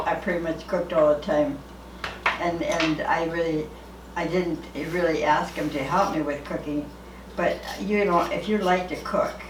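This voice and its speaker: Over noticeable background noise, a woman with a fairly low pitch and ordinary pitch variation talks at a moderate pace, pausing long and often. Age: 80s+. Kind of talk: casual conversation while cooking. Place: kitchen. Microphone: camera far.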